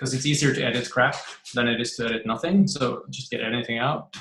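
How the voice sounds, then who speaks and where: A man with a non-native accent speaks at a moderate pace in a bright, sharp tone. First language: not English. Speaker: writer. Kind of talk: interview. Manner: halting.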